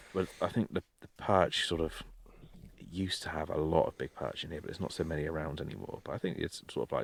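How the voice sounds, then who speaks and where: A man's very fast, fairly even delivery in a dry, close sound with no echo. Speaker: podcast co-host. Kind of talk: casual chat. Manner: loud.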